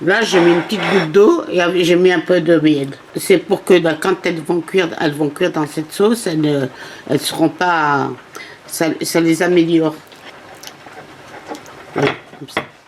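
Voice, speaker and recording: Over noticeable background noise, a woman with a fairly low pitch speaks at a moderate pace with ordinary pitch variation and long, frequent pauses. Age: 80s+. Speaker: home cook. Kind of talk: interview answer.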